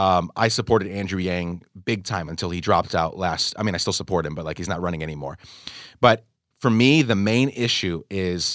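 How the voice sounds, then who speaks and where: A man speaks at a very deep, low pitch with ordinary pitch variation. The recording is very clean with a silent background. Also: fairly quick pace. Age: 30s. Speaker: podcast host. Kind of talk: casual interview conversation. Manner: enthusiastic.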